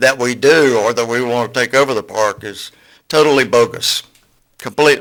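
A man's medium-pitched voice in a Southern US accent, bright and sharp in tone, at a moderate pace with ordinary pitch variation. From US South, Florida Panhandle (Port St. Joe). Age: 60s. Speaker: community speaker at public meeting. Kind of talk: public comment at county meeting. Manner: unprepared, halting.

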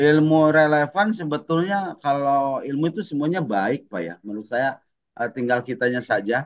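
A man talking at a fairly quick pace with lively intonation. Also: quiet background. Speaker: teacher acting as coachee; teacher being coached. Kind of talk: coaching role-play. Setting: video call. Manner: halting, many fillers. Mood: calm, reflective. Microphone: video call.

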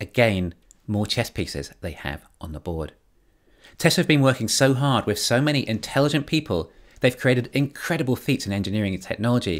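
Over a quiet background, a man with vocal fry talks at a fairly quick pace with very wide pitch swings. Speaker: commentator on company strategy. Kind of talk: commentary. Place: home room.

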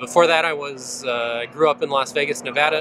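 Noticeable background noise sits under a man's dry, echo-free voice with ordinary pitch variation. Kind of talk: interview answer. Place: open country.

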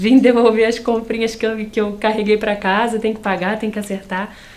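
The speaker has a relaxed tone and a fairly quick pace. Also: woman. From Nova Friburgo, Rio de Janeiro state, Brazil; Rio de Janeiro state, Brazil. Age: 30s. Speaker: interview guest. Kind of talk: casual interview. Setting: TV studio. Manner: relaxed, chatty, laughs often. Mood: amused, lively storytelling. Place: studio. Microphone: lapel.

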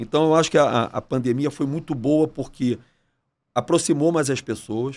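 This man's voice sits fairly high in pitch. Its rise and fall is ordinary. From Brazil, Rio de Janeiro. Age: 40s. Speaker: entrepreneur, restaurant chain CEO; podcast guest. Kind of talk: casual interview. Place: studio. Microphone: studio mic.

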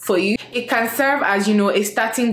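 Audible room echo accompanies speech at a moderate pace with ordinary pitch variation. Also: woman. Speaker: food vlogger. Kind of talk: casual vlog chat, sponsor segment. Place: kitchen.

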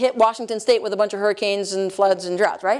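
A woman with an American accent speaks against a quiet background. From US South, North Carolina. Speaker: energy policy expert; lecturer. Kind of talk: lecture. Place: hall. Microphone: lapel.

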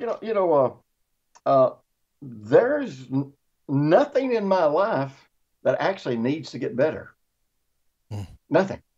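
Against a quiet background, a man speaks at a moderate pace with very wide pitch swings. He leaves long, frequent pauses. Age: 60s. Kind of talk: casual chat. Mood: earnest, teaching. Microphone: video call.

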